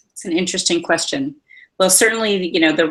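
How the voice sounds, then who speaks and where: A woman speaks with an American accent. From Massachusetts, Easton. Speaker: workplace wellness expert. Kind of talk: interview answers. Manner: hesitant, many fillers.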